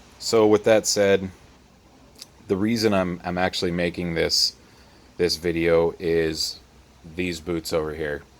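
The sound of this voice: Low in pitch, a man speaks fairly slowly with ordinary pitch variation.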